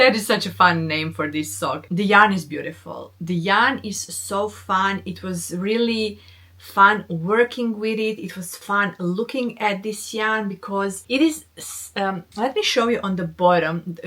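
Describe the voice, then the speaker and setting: A woman speaks at a fairly slow pace with hardly any pauses, in a medium pitch with ordinary pitch variation. Her loudness swings widely over noticeable background noise. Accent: non-native. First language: not English. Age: 40s. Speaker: knitting podcaster. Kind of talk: casual chat.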